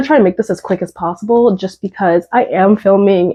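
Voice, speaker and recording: This is a woman with a normal speaking voice and a medium pitch. She talks at a fairly quick pace with ordinary pitch variation. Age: 20s. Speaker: beauty content creator. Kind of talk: casual talk to camera. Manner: casual, chatty.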